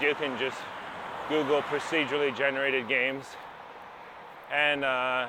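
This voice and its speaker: Over noticeable background noise, a fairly high-pitched man talks in a monotone, flat intonation with long, frequent pauses. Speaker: podcast host. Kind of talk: casual podcast talk.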